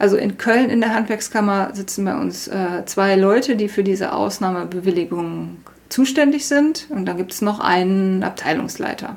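Spoken at a moderate pace with hardly any pauses, a plain, everyday voice shows ordinary pitch variation. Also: woman, medium pitch for a woman. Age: 40s. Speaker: self-taught baker. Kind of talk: interview.

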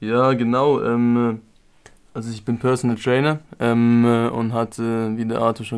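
On a very clean recording with a silent background, a man speaks in a medium pitch at a fairly slow pace with monotone, flat intonation. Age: 20s. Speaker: personal trainer. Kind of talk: casual chat.

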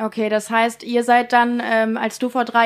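In a very clean recording with a silent background, a woman uses a normal speaking voice, fairly high in pitch with fairly even intonation. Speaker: radio host. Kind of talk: radio interview. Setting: studio.

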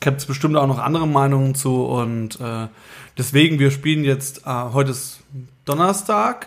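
A man speaks in a normal speaking voice at a fairly high pitch. His pace is moderate and his pitch variation ordinary. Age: 30s. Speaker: band musician. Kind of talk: casual chat.

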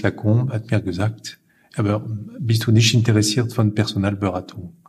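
With a French accent, a man speaks at a moderate pace in a medium pitch. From northern France, Lille. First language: French (speaking German). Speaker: recruitment firm owner. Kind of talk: interview. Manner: halting.

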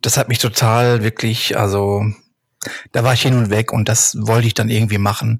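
Somewhat breathy and monotone, a man speaks at a moderate pace with a medium pitch and very even loudness. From Ruhr area, Germany (Hattingen). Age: 40s. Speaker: street photographer. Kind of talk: casual chat. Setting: remote browser recording.

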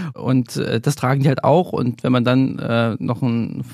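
Fairly even intonation and vocal fry mark a medium-pitched man's voice, with a dry, close sound and no echo on a very clean recording with a silent background. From eastern Germany (GDR), Weimar. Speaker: investigative journalist. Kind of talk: interview conversation. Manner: frequent filler hesitations.

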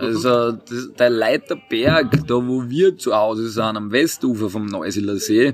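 This is a man with a medium-pitched voice. His pitch varies an ordinary amount. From Austria, Burgenland (Purbach, Neusiedler See). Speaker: winemaker. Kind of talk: interview.

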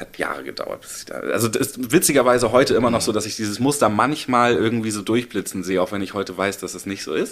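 This man has a medium pitch and ordinary pitch variation. He speaks at a very fast pace. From Hamburg, northern Germany. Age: 30s. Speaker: recovering addict. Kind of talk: interview.

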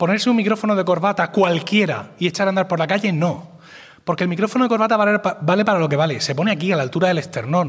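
Speaking at a very fast pace, a man has a high pitch and ordinary pitch variation. His loudness stays very even. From Spain, Murcia. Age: 40s. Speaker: podcaster and podcast network director. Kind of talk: conference talk.

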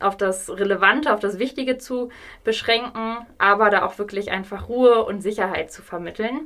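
A woman speaks in a normal speaking voice. Her pitch is fairly high. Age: 30s. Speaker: hospice coordinator. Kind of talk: interview.

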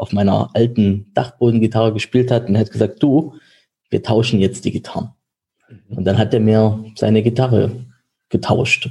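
A man speaks at medium pitch and a moderate pace with ordinary pitch variation. His tone is dark and mellow, and somewhat breathy. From Germany, village. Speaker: insurance broker. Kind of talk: interview. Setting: office.

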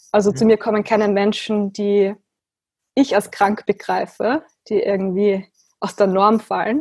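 The woman's medium-pitched voice moves at a fairly slow pace with long, frequent pauses and fairly even intonation, in a dry, close sound with no echo. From Austria. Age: 20s. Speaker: philosophical practitioner. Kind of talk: interview.

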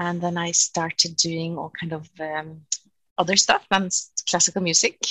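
A woman with a Norwegian accent speaks at a fairly low pitch in monotone, flat intonation. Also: moderate pace, big swings in loudness. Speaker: cellist and music professor. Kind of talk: interview. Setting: video call.

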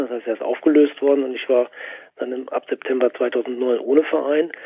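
This is an unremarkable speaking voice from a man with a fairly high pitch. He keeps a moderate pace and a fairly even intonation. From Ruhr area, Germany. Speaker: football magazine editor and author. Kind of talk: casual chat.

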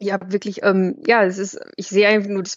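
A woman speaks in an ordinary speaking voice at medium pitch. Her pace is fairly quick. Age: 30s. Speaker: dog blogger and pet photographer. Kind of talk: casual chat.

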